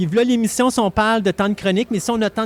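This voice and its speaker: A man with a Quebec accent, high-pitched, very fast, with ordinary pitch variation and a dry, close sound with no echo. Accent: Québécois French. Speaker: radio host. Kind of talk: casual chat.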